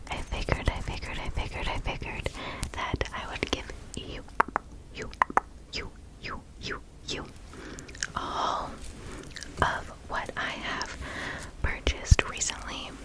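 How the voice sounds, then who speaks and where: A woman's whisper at a fairly slow pace, with long, frequent pauses, big swings in loudness and noticeable background noise. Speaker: ASMR creator. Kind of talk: ASMR shopping haul. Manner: whispered, soft-spoken.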